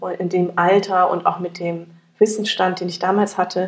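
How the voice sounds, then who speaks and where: A woman of medium pitch talks with monotone, flat intonation. Her pace is moderate. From Germany, near Frankfurt (Hesse). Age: 40s. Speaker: company founder. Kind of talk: interview. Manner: hesitant, many fillers.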